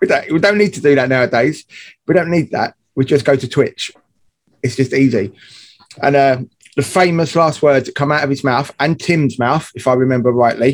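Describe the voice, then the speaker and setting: Here a man talks with a fairly high pitch. He has an unremarkable speaking voice. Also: ordinary pitch variation, moderate pace. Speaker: podcast co-host. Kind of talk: casual chat.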